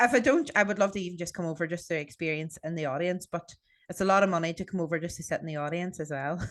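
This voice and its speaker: A woman speaks at a very fast pace with an Irish accent. Her pitch is fairly low, with ordinary pitch variation. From Ireland. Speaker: podcast host. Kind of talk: casual chat.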